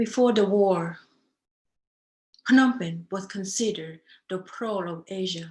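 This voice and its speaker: A woman's medium-pitched, somewhat breathy voice at a fairly slow pace, with ordinary pitch variation, big swings in loudness and long, frequent pauses. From Cambodia. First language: Khmer. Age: 50s. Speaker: dancer. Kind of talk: testimony.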